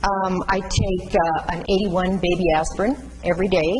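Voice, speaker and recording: Against noticeable background noise and audible room echo, a woman speaks at a moderate pace and medium pitch. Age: 70s. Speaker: patient speaker on chronic illness. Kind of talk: talk to nursing students. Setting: classroom with student audience. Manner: halting.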